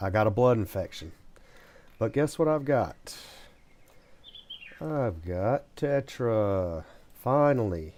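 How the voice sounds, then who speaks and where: A soft-spoken man talks at a very slow pace with long, frequent pauses. His medium pitch carries lively intonation. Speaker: gaming streamer. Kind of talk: live gameplay commentary.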